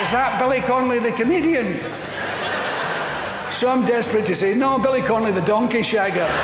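With audible room echo and noticeable background noise, a man talks at a fairly quick pace broken by long, frequent pauses. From Scotland. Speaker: stand-up comedian. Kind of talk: stand-up comedy routine. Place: stage. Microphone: lapel.

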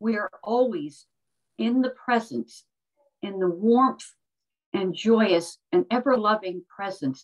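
A woman at a very slow pace over a quiet background. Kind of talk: spoken prayer. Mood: reverent, calm, uplifting. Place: home room. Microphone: video call.

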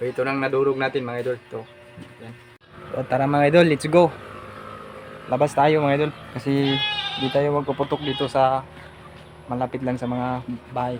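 Over noticeable background noise, a man at medium pitch talks at a moderate pace in a monotone, flat intonation with long, frequent pauses. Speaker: vlogger. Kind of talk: DIY tutorial.

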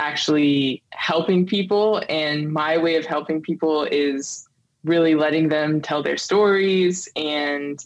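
Her pitch very deep and low, a woman speaks very slowly with fairly even intonation. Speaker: podcast guest. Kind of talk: interview answer. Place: home room.

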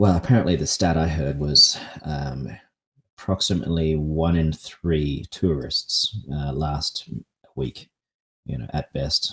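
At a fairly slow pace, a man with an Australian accent talks in a very deep, low voice with ordinary pitch variation. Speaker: pickleball coach. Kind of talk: casual chat. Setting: live podcast. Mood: relaxed, joking. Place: home room. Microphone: studio mic.

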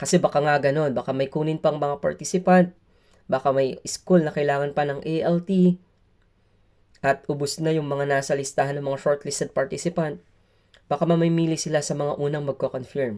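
A man with an ordinary speaking voice, fairly high in pitch, speaks at a moderate pace with fairly even intonation. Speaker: teacher and vlogger. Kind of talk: vlog. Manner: polite, uses "po".

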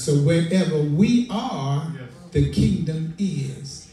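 A man speaks with ordinary pitch variation in a room with audible echo and light background noise. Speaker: preacher. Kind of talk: sermon. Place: church.

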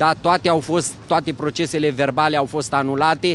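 A man speaks with ordinary pitch variation. Light background noise is present. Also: dry sound with no echo. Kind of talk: interview answer. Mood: aggrieved, indignant. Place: street. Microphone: handheld.

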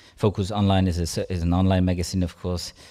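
Against a quiet background, a dark, mellow voice with a German accent speaks in a monotone with flat intonation. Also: man. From Germany. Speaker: science journalist; conference presenter. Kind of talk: conference talk. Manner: halting. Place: hall. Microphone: podium.

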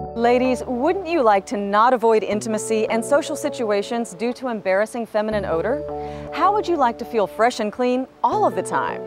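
Upbeat in tone, a woman speaks at a moderate pace with clear music in the background and a dry sound with no echo. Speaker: infomercial host. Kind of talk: TV infomercial read. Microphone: lapel.

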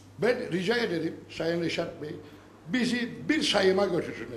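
This man's high pitch swings very widely as he speaks at a moderate pace, with light background noise and audible room echo. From Northern Cyprus, Lefke region; Northern Cyprus. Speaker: villager speaking from audience. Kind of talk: town hall speech. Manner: animated. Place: hall. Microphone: handheld.

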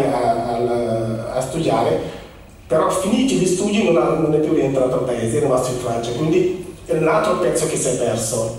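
Over light background noise and strong room echo, a man with a fairly high voice talks at a moderate pace. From Senegal. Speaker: immigration office representative speaking about Senegal. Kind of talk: public talk to an audience. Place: hall.

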